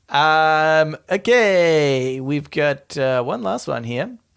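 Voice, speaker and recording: On a very clean recording with a silent background, a man with an Australian accent talks at a fairly high pitch. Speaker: podcast co-host.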